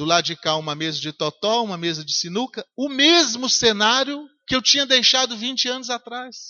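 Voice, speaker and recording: Pitched extremely high, a man talks at a moderate pace with very wide pitch swings and hardly any pauses. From Brazil, Minas Gerais (Governador Valadares). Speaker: pastor. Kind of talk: sermon.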